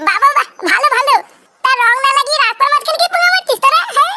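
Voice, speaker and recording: A squeaky, cartoonish character voice at an extremely high pitch and a fairly quick pace. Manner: swaggering, crude.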